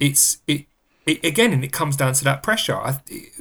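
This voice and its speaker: Vocal fry runs through lively intonation in an English accent, on a very clean recording with a silent background. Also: man. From England. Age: 30s. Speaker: podcast host. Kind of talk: casual chat. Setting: studio.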